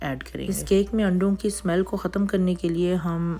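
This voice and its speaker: A woman speaks at a moderate pace in a fairly low, monotone voice with flat intonation. Noticeable background noise is present. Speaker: baking instructor. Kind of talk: tutorial.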